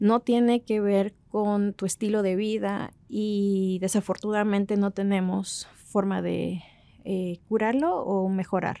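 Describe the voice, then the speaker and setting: A woman's medium-pitched, dark, mellow voice at a very slow pace, with monotone, flat intonation and a dry, close sound with no echo. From Mexico, raised abroad (Brazil, China, Chile). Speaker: bioengineering professor. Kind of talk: personal testimony. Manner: hesitant, frequent fillers.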